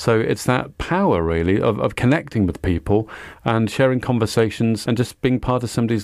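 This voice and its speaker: A man with a Welsh accent speaks at a fairly quick pace in a medium pitch, his intonation lively. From Wales, Cardiff. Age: 50s. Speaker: community radio founder. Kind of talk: interview.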